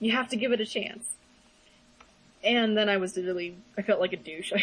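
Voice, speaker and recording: Speaking at a fairly quick pace, a woman with a medium pitch keeps her intonation fairly even and takes long, frequent pauses. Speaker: podcast co-host. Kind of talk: casual chat. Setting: small room, shared mics. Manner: loud. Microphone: voice echoing off another mic.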